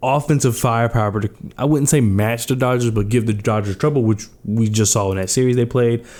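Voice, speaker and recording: Speaking at a fairly quick pace, a man is heard on a very clean recording with a silent background. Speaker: baseball commentator. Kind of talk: casual analysis monologue. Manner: halting with fillers and repetitions.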